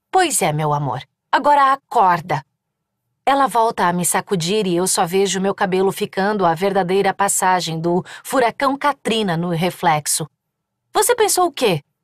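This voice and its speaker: A woman's animated, furious voice at medium pitch and a moderate pace, with lively intonation, on a very clean recording with a silent background and a dry, close sound with no echo. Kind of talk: audiobook narration, dramatized first-person fiction. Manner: animated, emotional, shifting from furious shouting to comic, teasing dialogue.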